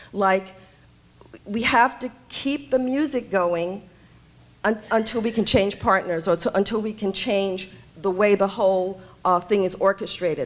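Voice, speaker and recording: Speaking at a fairly slow pace with long, frequent pauses, this voice has ordinary pitch variation and a New York accent. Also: woman, medium pitch for a woman. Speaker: homeless services director. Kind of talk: panel talk. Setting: conference stage with audience. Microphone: too quiet at first, mic held away.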